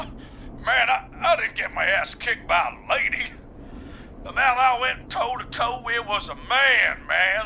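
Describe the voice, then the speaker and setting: Over clear background noise, a man uses a put-on character voice with an extremely high pitch and lively intonation. He drawls at a fairly slow pace. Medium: video game. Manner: casual, drawling, says "man" a lot.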